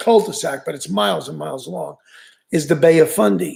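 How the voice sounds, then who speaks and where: With a New York accent, a man talks at a moderate pace. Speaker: fishing channel host. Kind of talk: live stream chat. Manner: casual, halting.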